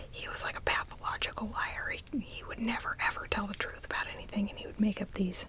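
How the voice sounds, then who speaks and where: Amid clearly audible background noise, the words are whispered at a middling speed. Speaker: ASMR creator. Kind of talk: whispered ASMR ramble to camera about a favorite anime. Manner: whispered, soft-spoken.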